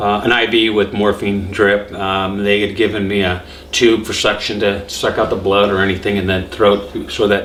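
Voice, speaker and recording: A man's monotone, flat delivery at a moderate pace with hardly any pauses, amid noticeable background noise and audible room echo. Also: fairly low pitch for a man. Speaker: cancer survivor vlogger. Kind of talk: personal testimony. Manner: halting, many fillers.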